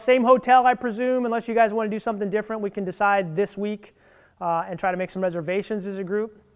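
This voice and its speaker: The voice moves at a fairly quick pace with ordinary variation in pitch. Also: man. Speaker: cycling team leader. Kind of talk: team meeting presentation. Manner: fast.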